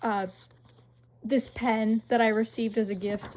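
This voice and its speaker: Somewhat breathy, a woman speaks at a fairly slow pace with a fairly high pitch. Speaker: artist, sketchbook tour vlogger. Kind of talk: casual chat. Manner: stuttering.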